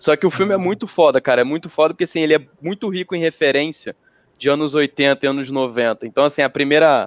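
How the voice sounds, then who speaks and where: A man talks at a fairly quick pace and a fairly high pitch, with ordinary pitch variation, in a plain, everyday voice. The sound is dry and close with no echo, over a quiet background. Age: 30s. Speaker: podcast co-host. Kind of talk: casual chat.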